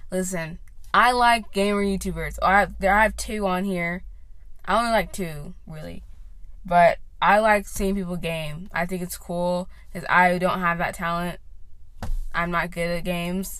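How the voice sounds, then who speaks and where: In a room with audible echo, a woman talks at a fairly slow pace, her fairly low voice keeping a fairly even intonation. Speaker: podcast host. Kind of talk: casual monologue. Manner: rambling with many fillers.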